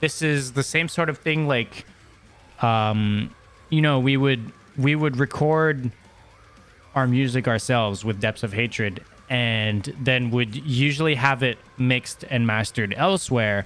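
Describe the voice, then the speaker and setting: Over music in the background, a man of medium pitch talks at a fairly slow pace with very even loudness. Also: ordinary pitch variation. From Quebec, Montreal. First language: French. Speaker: metal podcaster and former band musician. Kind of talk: casual solo podcast chat. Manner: hesitant, many fillers and repeated words.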